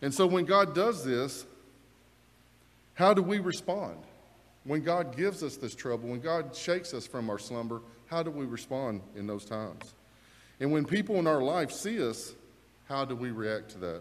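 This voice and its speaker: The speech moves at a moderate pace with long, frequent pauses. The pitch swings very widely. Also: man. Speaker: preacher. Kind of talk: sermon. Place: church. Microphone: lapel.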